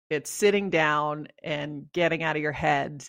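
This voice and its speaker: A woman with a slight Canadian accent speaks at a fairly slow pace in a very deep, low pitch. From Canada. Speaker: leadership coach and author. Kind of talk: interview.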